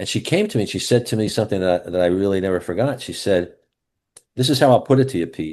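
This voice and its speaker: Lively intonation marks this man's very fast speech at a fairly low pitch. The background is quiet. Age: 70s. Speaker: life and business coach. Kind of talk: casual interview chat.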